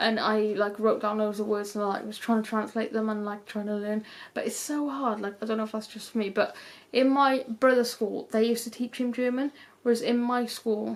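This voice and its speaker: A woman with a British accent speaks at a moderate pace in a fairly high voice. Her intonation stays flat and monotone. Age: 20s. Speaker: YouTuber. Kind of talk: casual chat. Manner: casual, rambling with fillers.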